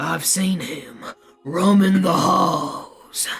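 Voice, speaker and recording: Faint music plays behind a put-on character voice at a middle pitch that sounds gruff, raspy and strained. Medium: virtual streamer. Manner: gossipy, conspiratorial.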